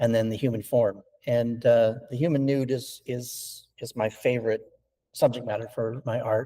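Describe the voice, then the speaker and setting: A man speaks at a moderate pace and medium pitch, his tone dark, mellow and somewhat breathy. His intonation is monotone and flat. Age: 60s. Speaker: stone sculptor. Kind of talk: interview. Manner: halting, many fillers and repetitions.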